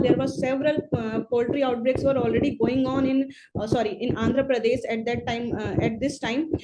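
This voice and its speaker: Noticeable background noise accompanies a high-pitched woman whose intonation is fairly even. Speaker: public health expert. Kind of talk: webinar presentation. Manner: halting, many fillers; hurried.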